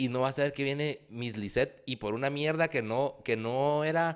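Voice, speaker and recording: An animated voice with a Guatemalan accent and ordinary pitch variation. The background is quiet. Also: man. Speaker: podcast co-host. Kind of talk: casual chat.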